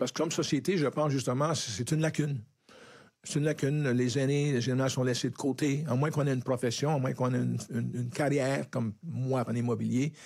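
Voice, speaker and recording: Very fast speech with fairly even intonation and very even loudness. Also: man, medium pitch for a man. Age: 70s. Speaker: real estate broker. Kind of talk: podcast panel discussion.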